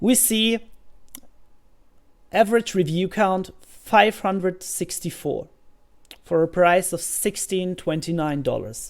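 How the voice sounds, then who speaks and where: A woman with a German accent, medium pitch and ordinary pitch variation, at a very slow pace with long, frequent pauses. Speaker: self-publishing YouTuber. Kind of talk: screen-share tutorial. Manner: hesitant, with fillers.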